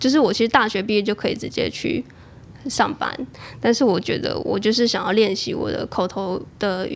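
With a fairly high pitch, a woman speaks with vocal fry. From Taiwan, Chiayi. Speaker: freelancer and podcaster. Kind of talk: casual interview chat.

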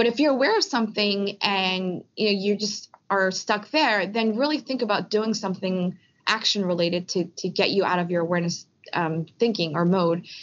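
A woman with an American accent has a plain, everyday voice and a medium pitch. She speaks at a moderate pace with ordinary pitch variation and very even loudness. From US, Philadelphia. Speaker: refugee advocacy and policy executive. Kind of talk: interview. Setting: Skype call.

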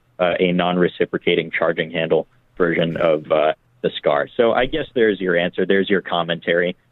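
A man talking at a fairly quick pace. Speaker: firearms commentator. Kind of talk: listener question answer.

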